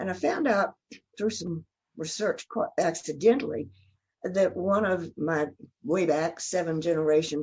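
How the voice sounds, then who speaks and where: Fairly slow and fairly low-pitched, a woman speaks with a Southern US accent. Her pitch variation is ordinary. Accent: Southern US (Georgia). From US South, Georgia (Athens and Atlanta). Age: 80s+. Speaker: church member. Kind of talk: interview.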